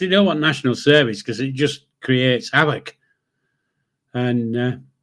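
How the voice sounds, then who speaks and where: Speaking at a moderate pace with a Yorkshire accent, a man is heard on a very clean recording with a silent background. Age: 70s. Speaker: livestream host. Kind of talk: casual chat. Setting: live stream. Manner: blunt, sweary.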